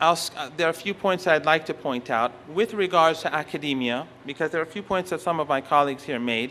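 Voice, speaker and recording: Spoken in a Persian accent at a fairly quick clip, this voice has lively intonation and a bright, sharp tone. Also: man. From Iran. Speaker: professor. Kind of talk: lecture. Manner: halting.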